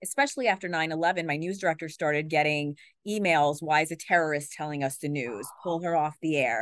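Recorded with a dry, close sound with no echo and a quiet background, a woman talks at a fairly quick pace. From Queens, New York. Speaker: news anchor. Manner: fast talker; energetic, excitable.

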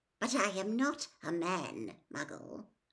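Someone puts on a character voice at a middle pitch, speaking at a fairly slow pace. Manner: menacing, contemptuous.

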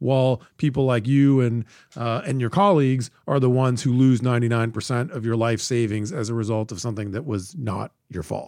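Hardly pausing, a man talks in a plain, everyday voice at a medium pitch with ordinary pitch variation. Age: 50s. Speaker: podcast host, think tank director. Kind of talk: interview.

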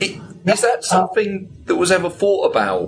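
A man with a British accent at a moderate pace. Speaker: podcast co-host. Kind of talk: interview.

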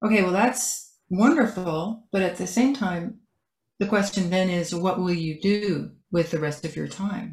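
With ordinary pitch variation, a woman's somewhat breathy voice holds a medium pitch at a moderate pace. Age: 70s. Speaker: author and entrepreneur. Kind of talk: casual interview. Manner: halting.

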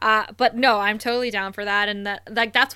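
With a Canadian accent, a woman speaks at a moderate pace in a bright, sharp tone. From Canada, Thunder Bay, Ontario. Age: 30s. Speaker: podcast co-host. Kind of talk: casual chat. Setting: online call.

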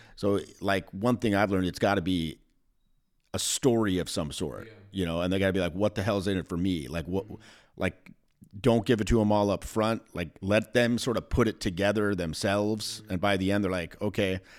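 A man with an ordinary speaking voice talks fairly quickly, his pitch fairly low and his intonation fairly even. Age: 40s. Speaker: dating and charisma coach. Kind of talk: casual chat.

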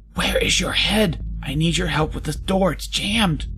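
Someone uses a put-on character voice that sounds raspy, at a moderate pace. Clear background noise is audible. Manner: strained whisper.

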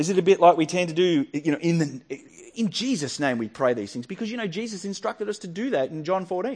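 This man speaks very fast in an Australian accent, his high-pitched voice carrying lively intonation. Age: 40s. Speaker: pastor. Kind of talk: sermon.

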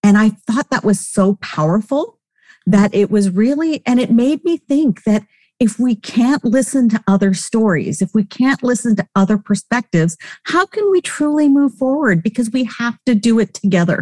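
With a dark, mellow tone and some breathiness, a woman's fairly high voice moves at a moderate pace with lively intonation and very even loudness, recorded dry and close with no echo. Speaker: podcast co-host. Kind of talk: interview conversation.

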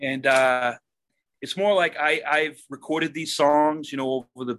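With ordinary pitch variation, a man delivers his words fairly slowly. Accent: American. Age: 30s. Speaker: rock guitarist. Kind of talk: casual interview. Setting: video call from basement music studio.

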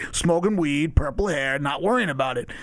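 This is an unremarkable speaking voice whose pitch varies in an ordinary way. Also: man. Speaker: guest. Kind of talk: casual chat, interview.

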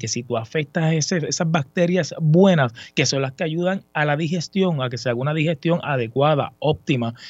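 A man talks with a fairly high pitch and ordinary pitch variation. His voice sounds somewhat breathy. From Puerto Rico. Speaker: sports section supervisor. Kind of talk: casual chat.

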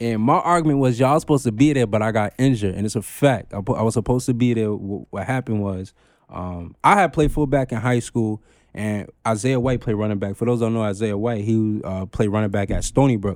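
A man with a New York accent, medium in pitch, with ordinary pitch variation and a very fast pace. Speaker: podcaster, former football player. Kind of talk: casual chat.

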